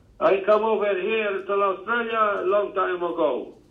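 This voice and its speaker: A man with a Maltese accent talks at a fairly slow pace. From Gozo, Malta. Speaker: podcast guest calling in. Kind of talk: non-native, broken English. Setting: phone.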